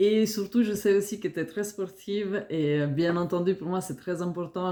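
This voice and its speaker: The speaker has a slight Italian-Swiss accent and talks at a moderate pace. Pitch variation is ordinary. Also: woman. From Italian-speaking Switzerland (Ticino). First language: Italian (speaking French). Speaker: fitness coach and nutritionist. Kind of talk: self-introduction video for job application. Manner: hesitant, many fillers.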